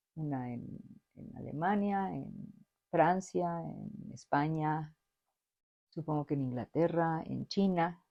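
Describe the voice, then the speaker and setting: Her very deep, low pitch moving with ordinary variation, a woman speaks at a very slow pace with long, frequent pauses and big swings in loudness. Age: 70s. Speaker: physics professor. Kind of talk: interview conversation.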